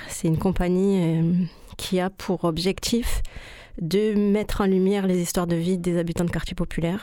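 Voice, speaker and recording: A woman's medium-pitched voice, dark and mellow, at a moderate pace with monotone, flat intonation and very even loudness. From southern France (Rodez, Toulouse). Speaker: choreographer. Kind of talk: radio interview.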